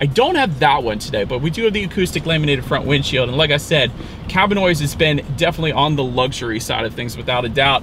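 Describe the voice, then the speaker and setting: Music sits in the background as a man talks at a very fast pace. His intonation is lively and the sound is dry with no echo. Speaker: car reviewer. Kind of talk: car review commentary. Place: car. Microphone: camera far.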